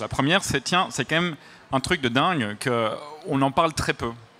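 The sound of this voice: A man speaks with a slight Belgian accent in a bright, sharp tone.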